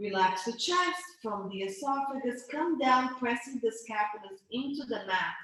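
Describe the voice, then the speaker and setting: A woman's voice, high in pitch, with lively intonation. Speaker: pilates instructor. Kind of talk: guided exercise class. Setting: video call. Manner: stuttering.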